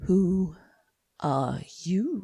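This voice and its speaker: The voice is a put-on character. Its pitch lands in the middle range. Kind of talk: slow, drawling. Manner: languid.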